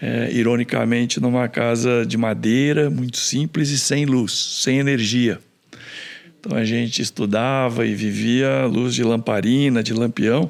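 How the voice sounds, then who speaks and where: A man speaks at a fairly slow pace in a medium pitch, his loudness very even, with a plain, everyday voice. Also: fairly even intonation. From interior of São Paulo state, Brazil (Rinópolis). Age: 60s. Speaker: engineer and entrepreneur. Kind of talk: podcast interview.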